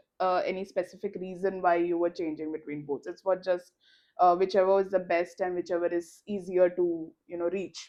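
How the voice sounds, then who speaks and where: A woman with an Indian accent speaks at a moderate pace, her fairly low pitch delivered in a monotone, flat intonation. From India, Mumbai. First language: Malayalam. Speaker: podcast co-host. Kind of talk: casual chat.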